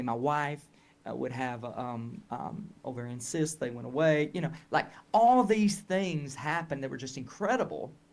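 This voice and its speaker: A man with a Southern US accent and a fairly high pitch. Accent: Southern US, noticeable. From Tennessee, US South. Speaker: health educator and marketing coach. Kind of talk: interview conversation. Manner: hesitant, many fillers and restarts.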